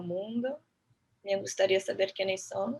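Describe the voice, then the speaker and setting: At a moderate pace, a woman speaks with a medium pitch and fairly even intonation. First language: Portuguese (speaking Spanish). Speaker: architect and urban planner, lecturer. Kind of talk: lecture.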